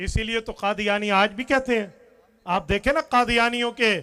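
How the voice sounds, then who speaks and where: A high-pitched man with a bright, sharp tone, a raised, projected voice, fairly even intonation and a moderate pace. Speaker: Islamic cleric. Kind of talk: religious rally speech. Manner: impassioned, oratorical.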